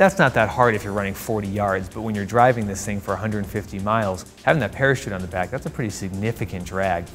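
Fairly low male speech at a fairly quick pace with ordinary pitch variation, faint music in the background. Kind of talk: interview answer. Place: studio. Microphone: lapel.

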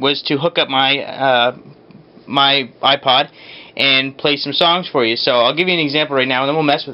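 A man speaks at a moderate pace with fairly even intonation. Light background noise sits behind him. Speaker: electronics hobby seller. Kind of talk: tutorial. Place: workshop.

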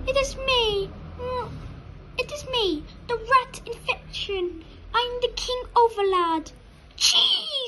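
An extremely high, put-on character voice speaks at a very slow pace with long, frequent pauses. Clear background noise is present. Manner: silly, villainous.

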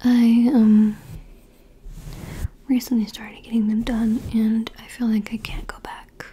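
Soft-spoken and fairly high-pitched, a woman talks at a very slow pace over light background noise. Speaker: ASMR creator. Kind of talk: ASMR ramble, personal attention. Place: home room. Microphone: studio mic.

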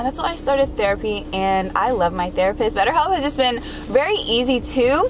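A woman speaks at a fairly high pitch and a fairly quick pace, with lively intonation. Clear background noise can be heard.

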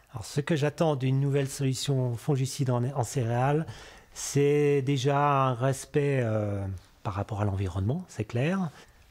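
With ordinary pitch variation, a man delivers his words at a fairly slow pace. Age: 50s. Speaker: cereal farmer. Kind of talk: interview testimony. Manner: hesitant, many filler sounds. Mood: calm, friendly. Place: farm machine.

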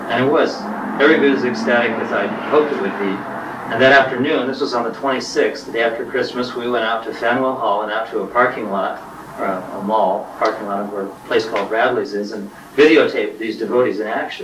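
Against noticeable background noise, a man speaks at a very fast pace with ordinary pitch variation. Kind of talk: introduction to a video program. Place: shop.

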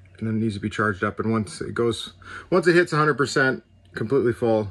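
Ordinary pitch variation marks this voice. It belongs to a man. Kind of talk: tutorial walkthrough. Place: home room. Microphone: phone near.

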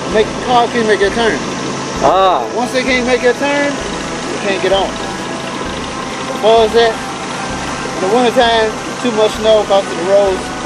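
Over music in the background, a man talks at a very slow pace with ordinary pitch variation and a dry sound with no echo. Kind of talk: casual chat with a passenger. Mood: relaxed, friendly. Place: boat. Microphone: camera far.

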